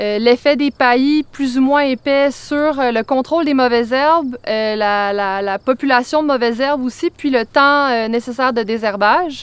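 A woman with a high pitch speaks at a fairly slow pace with ordinary pitch variation, the sound dry with no echo. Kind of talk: interview answer. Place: farm.

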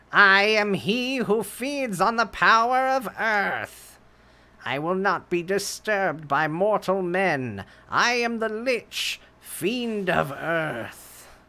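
A put-on character voice sits at a middle pitch. It speaks at a very slow pace. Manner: menacing, grandiose.

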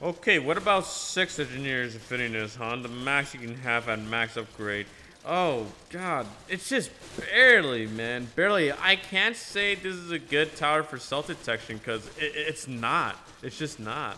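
A man with a fairly high voice and lively intonation speaks over noticeable background noise. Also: moderate pace. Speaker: gaming youtuber. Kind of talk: gameplay commentary. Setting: echoey room in new house. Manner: halting, with filler words.

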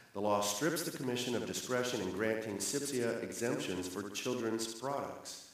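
Strong room echo surrounds a man who talks at a moderate pace with hardly any pauses and ordinary pitch variation. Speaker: congressman. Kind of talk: formal hearing. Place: hall.

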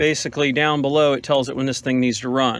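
The recording is dry with no echo as a man speaks at a fairly quick pace. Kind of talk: tutorial. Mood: calm, slightly frustrated. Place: open country. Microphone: phone near.

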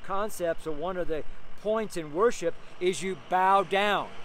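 Loud and high-pitched, a man talks at a moderate pace with ordinary pitch variation, in a dry sound with no echo and light background noise. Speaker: street preacher. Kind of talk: sermon preached outdoors, preacher in full flow. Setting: outdoors on a street corner. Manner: fervent, animated, exclaiming with laughs; loud, raised voice over street noise. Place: street. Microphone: phone near.

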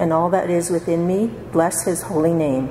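A woman at a fairly low pitch and fairly slow pace, with audible room echo and light background noise. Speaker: lay reader. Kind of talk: liturgical reading. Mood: calm, reverent. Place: church. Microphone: podium.

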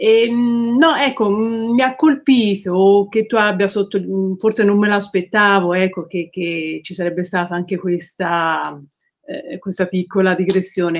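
Fairly slow speech in a Tuscan accent. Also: woman, medium pitch for a woman, ordinary pitch variation. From Tuscany. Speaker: group member asking questions. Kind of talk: casual chat. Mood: thoughtful, warm. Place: home room. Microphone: video call.

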